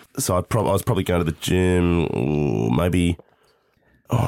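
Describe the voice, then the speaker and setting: Speaking with an Australian accent, a man uses a very deep, low pitch with ordinary pitch variation at a moderate pace. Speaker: radio host and aspiring stand-up comic. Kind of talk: casual chat. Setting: remote call.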